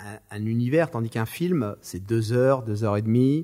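At a moderate pace, a man speaks in a dark, mellow tone of medium pitch with ordinary pitch variation. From France, Marseille. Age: 50s. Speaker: screenwriter and film director. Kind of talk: interview. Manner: animated.

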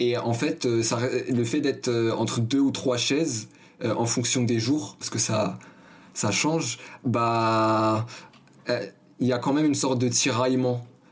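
A man talks at a very slow pace, leaving long, frequent pauses. His loudness stays very even, and his intonation is fairly even. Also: medium pitch for a man. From Paris, 19th arrondissement. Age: 20s. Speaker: journalism student. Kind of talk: interview. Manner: halting, many fillers.

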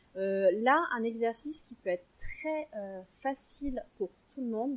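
A woman speaks at a fairly high pitch, with ordinary pitch variation. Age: 30s. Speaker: sophrologist and perinatal coach. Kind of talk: interview; guided relaxation exercise.

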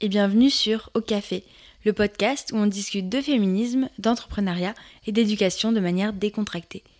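In a very clean recording with a silent background, a woman with an unremarkable speaking voice talks at a moderate pace and a fairly high pitch. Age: 20s. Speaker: podcast host and social entrepreneur. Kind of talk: scripted podcast monologue.

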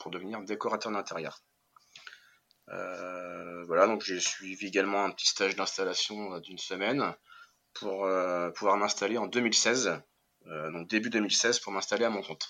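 A man's fairly low voice with a bright, sharp tone, a fairly slow pace, fairly even intonation and long, frequent pauses. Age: 30s. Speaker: cabinetmaker and interior decorator, entrepreneur. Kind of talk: interview. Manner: hesitant, many fillers and repetitions.

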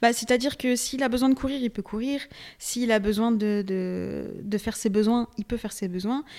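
Here is an unremarkable speaking voice, fairly even in intonation and moderate in speed. The background is silent on a very clean recording. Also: woman, fairly high pitch for a woman. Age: 20s. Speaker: dog training enthusiast. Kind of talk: casual chat.

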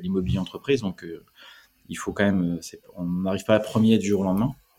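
This dark, mellow tone carries ordinary pitch variation. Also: man. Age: 40s. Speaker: startup founder. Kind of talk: interview. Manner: halting, many repetitions.

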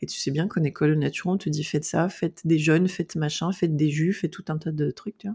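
Her voice very deep and low, a woman talks at a very fast pace with hardly any pauses, fairly even intonation, a dark, mellow, somewhat breathy tone and a dry, close sound with no echo. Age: 40s. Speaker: naturopath specialized in eating disorders. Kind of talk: interview. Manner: outspoken, frank.

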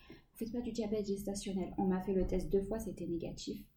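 Audible room echo surrounds a woman whose somewhat breathy voice sits at a medium pitch with fairly even intonation. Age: 30s. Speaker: stay-at-home mother sharing her pregnancy and postpartum experience. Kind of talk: interview testimony.

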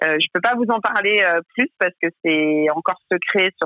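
The speaker is a woman. Her pitch moves up and down normally. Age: 30s. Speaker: head of a women's sports league. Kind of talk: interview. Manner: halting.

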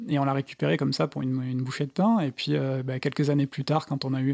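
A man speaks at a fairly quick pace with ordinary pitch variation, in a very clean recording with a silent background and a dry, close sound with no echo. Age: 30s. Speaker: architect turned van traveller and author. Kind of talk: interview. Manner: halting.

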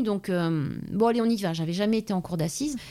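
This woman has a normal speaking voice and moves fairly quickly. Her pitch shifts in an ordinary way. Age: 40s. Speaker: police officer. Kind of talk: interview.

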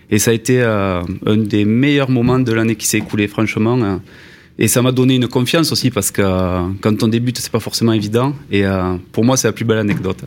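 A man talks in a plain, everyday voice at a medium pitch, with ordinary pitch variation, a fairly quick pace and a very clean recording with a silent background. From southwest France (Toulouse). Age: 30s. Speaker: former mason turned video maker. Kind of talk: casual chat.

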